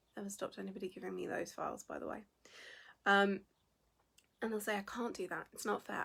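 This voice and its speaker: Talking at a very fast pace, a woman uses a medium pitch with vocal fry. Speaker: business founder and coach. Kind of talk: livestream talk. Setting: livestream video.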